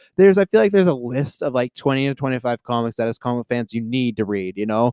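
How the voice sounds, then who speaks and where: A man with a Western Canadian accent speaks very fast at medium pitch in a dark, mellow tone with lively intonation, sounding dry and close with no echo. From Canada, Kelowna, British Columbia. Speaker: podcast guest. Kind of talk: casual chat.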